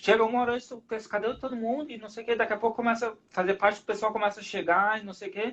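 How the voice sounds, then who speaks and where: The man's voice sits at a high pitch. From southern Brazil, Rio Grande do Sul. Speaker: rugby referee. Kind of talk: casual interview chat.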